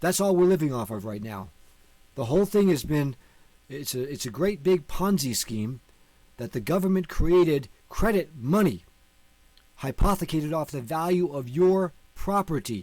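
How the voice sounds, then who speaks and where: The man's pitch is fairly high, with very wide swings, at a moderate pace. He leaves long, frequent pauses. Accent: American. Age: 50s. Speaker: online teacher on law and finance. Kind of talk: video lecture.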